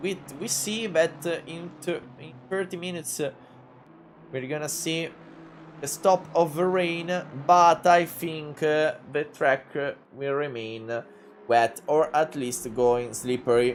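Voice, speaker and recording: A man speaks in a strong Italian accent. His pace is very slow. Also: fairly high pitch for a man, ordinary pitch variation. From Italy. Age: 20s. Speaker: sim racing commentator. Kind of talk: live commentary. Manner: halting, many filler sounds.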